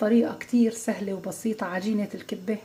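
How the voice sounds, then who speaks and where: A woman speaks at a moderate pace with a fairly high pitch and monotone, flat intonation. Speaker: cooking channel host. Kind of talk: cooking tutorial. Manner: quiet.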